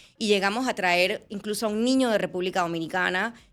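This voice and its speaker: Over a silent background in a very clean recording, a woman speaks very fast with fairly even intonation. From Panama. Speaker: journalist and TV presenter. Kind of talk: interview conversation.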